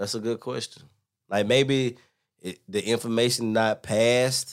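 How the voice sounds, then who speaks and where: A man at a medium pitch and fairly slow pace, ordinary pitch variation, very clean recording with a silent background. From US South, LaGrange, Georgia. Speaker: schoolteacher. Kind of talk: casual chat.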